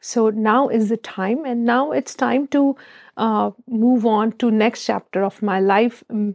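Recorded with a dry, close sound with no echo, a woman speaks at a very slow pace. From India. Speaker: periodontist and business owner. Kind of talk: interview. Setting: studio. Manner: halting.

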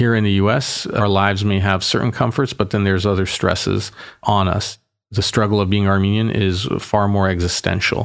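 In an American accent, a man with an ordinary speaking voice talks at a moderate pace and fairly low pitch on a very clean recording with a silent background. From Boston, US. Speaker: mayor. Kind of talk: casual interview conversation.

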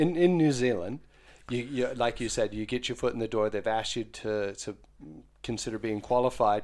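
An unremarkable speaking voice belongs to this man with an American accent, medium pitch and ordinary pitch variation. He keeps a moderate pace in a very clean recording with a silent background. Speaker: funeral director and podcast host. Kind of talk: casual chat.

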